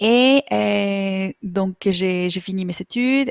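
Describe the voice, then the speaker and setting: The recording is very clean, with a silent background and a dry, close sound with no echo. A woman speaks with ordinary pitch variation. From Mexico. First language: Spanish (speaking French). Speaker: online Spanish teacher. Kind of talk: interview. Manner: halting, many fillers.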